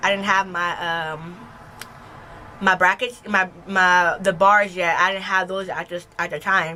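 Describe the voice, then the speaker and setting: Bright and sharp in tone, a woman talks at a medium pitch with monotone, flat intonation. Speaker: vlogger. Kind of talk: casual vlog talk.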